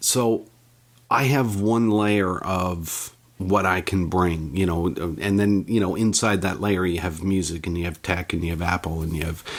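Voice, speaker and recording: On a very clean recording with a silent background, a man with a Canadian accent talks in a very deep, low pitch with fairly even intonation. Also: moderate pace. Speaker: technology journalist and podcaster. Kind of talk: interview.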